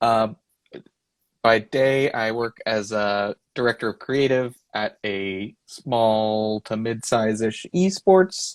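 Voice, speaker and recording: A man with a Texan accent speaks at a very slow pace, his medium pitch showing ordinary variation. The sound is dry and close with no echo, on a very clean recording with a silent background. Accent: Texan, says things as fangs. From Texas. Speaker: illustrator and creative director. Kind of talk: casual interview chat. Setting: Instagram live video.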